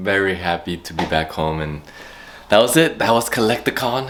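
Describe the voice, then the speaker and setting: The speaker is a man. Noticeable background noise is heard behind him. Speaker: YouTube vlogger. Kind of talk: casual vlog. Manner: animated.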